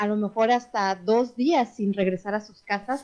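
A woman's fairly high voice, an unremarkable speaking voice, moving at moderate speed with ordinary rises and falls in pitch. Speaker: radio show host, wellness talk. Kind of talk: casual chat. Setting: radio studio, also streamed on Instagram.

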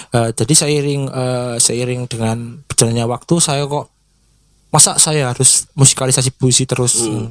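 A man of medium pitch speaks at a moderate pace with fairly even intonation. The sound is dry and close, without echo. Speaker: singer and social media influencer. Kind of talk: casual interview. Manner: hesitant, many fillers.

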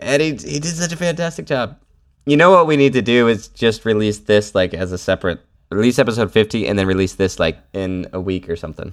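On a very clean recording with a silent background, a man speaks in a playful tone at a fairly low pitch and fairly quick pace with very wide pitch swings. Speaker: podcast host. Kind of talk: casual banter. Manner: joking, playful.

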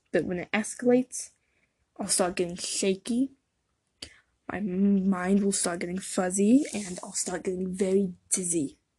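Speaking at a fairly slow pace with long, frequent pauses, a woman has a dark, mellow, somewhat breathy tone at medium pitch, fairly even intonation and big swings in loudness. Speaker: podcast host talking about anxiety. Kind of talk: solo personal talk about anxiety, opinion-based.

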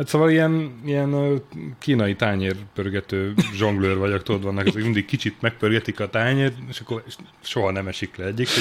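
The pace stays moderate throughout. It is an unremarkable speaking voice, its pitch varying in an ordinary way. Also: man, fairly low pitch for a man. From Hungary, Sopron. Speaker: journalist and deputy editor-in-chief. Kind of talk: casual interview.

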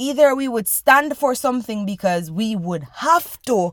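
On a very clean recording with a silent background, a woman with a fairly high pitch speaks at a moderate pace in an animated tone with lively intonation. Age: 20s. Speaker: podcast host. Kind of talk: casual monologue.

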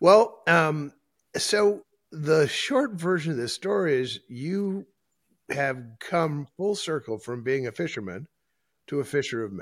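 A man with an Upper Midwest accent speaks very slowly at a fairly high pitch, with very wide pitch swings and long, frequent pauses. The recording is very clean, with a silent background. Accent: Upper Midwest American. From northeast South Dakota. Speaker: podcast host. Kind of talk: casual interview. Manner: animated.

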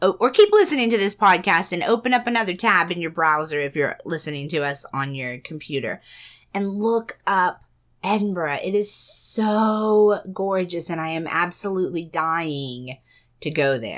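Here is a woman with a plain, everyday voice and lively intonation at medium pitch and a moderate pace. The recording is very clean with a silent background. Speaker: podcast co-host. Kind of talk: casual chat.

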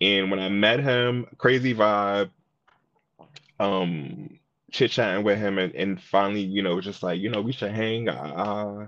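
In an American accent, a man with a fairly low pitch and ordinary pitch variation talks in an unremarkable speaking voice. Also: fairly slow pace. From Brooklyn, New York. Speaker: singer and songwriter. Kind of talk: casual interview. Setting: coffee shop.

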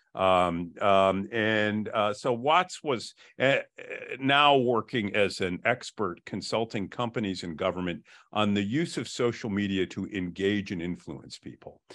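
A man with an ordinary speaking voice and a fairly low pitch talks at a fairly slow pace with ordinary pitch variation. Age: 60s. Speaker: trial lawyer. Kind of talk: interview.

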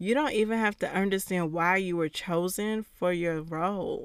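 A woman with a fairly low pitch, ordinary pitch variation and a moderate pace, an ordinary speaking voice, on a very clean recording with a silent background. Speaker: podcast host and encouragement coach. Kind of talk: solo podcast episode, encouraging talk.

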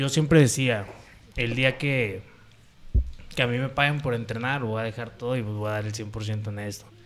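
With audible room echo around him, a man of medium pitch talks at a moderate pace, leaving long, frequent pauses and keeping his intonation fairly even. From Puerto Vallarta, Jalisco, Mexico. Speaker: professional MMA fighter. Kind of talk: casual chat.

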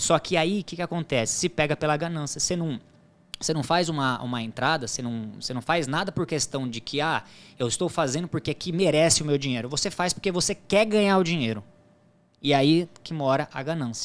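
In an unremarkable speaking voice, a man talks at a fairly quick pace, fairly high in pitch with ordinary pitch variation, on a very clean recording with a silent background. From Brazil, São Paulo (Diadema) then Paraná. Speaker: sports betting tipster. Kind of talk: podcast interview.

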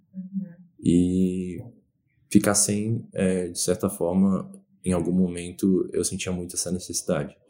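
Very deep and low, this man's voice has a dark, mellow tone. His intonation is monotone and flat. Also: fairly slow pace. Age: 20s. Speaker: pandemic experience interviewee, research institute worker. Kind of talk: casual interview.

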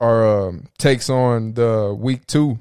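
A man with a medium-pitched voice, a dark, mellow tone and fairly even intonation, recorded with a dry, close sound and no echo. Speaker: sports podcast host. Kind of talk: casual banter.

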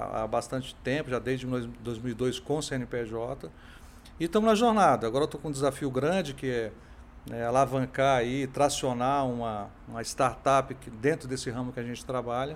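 At a moderate pace, a man talks at a medium pitch in an ordinary speaking voice. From Brasília, Brazil. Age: 50s. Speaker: tech entrepreneur. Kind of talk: interview.

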